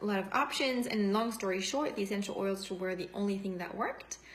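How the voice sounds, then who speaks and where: A woman with a medium pitch speaks at a fairly quick pace, her intonation fairly even. Audible room echo and noticeable background noise surround her. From France. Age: 40s. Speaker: essential oils seller and former nurse. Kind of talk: testimony. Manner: spontaneous, unscripted.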